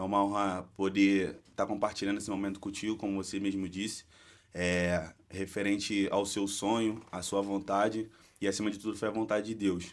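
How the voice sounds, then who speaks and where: The recording is very clean with a silent background. A man talks at a moderate pace and fairly low pitch in a monotone, flat intonation. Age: 20s. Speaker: church ministry member. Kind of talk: casual interview.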